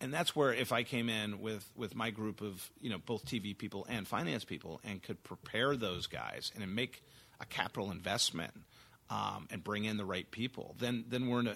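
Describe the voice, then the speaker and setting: A man with an American accent speaks at a moderate pace, his fairly low voice bright and sharp in tone, with vocal fry. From Texas, San Antonio. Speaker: TV executive producer and studio CEO. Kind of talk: interview conversation. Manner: halting with many fillers.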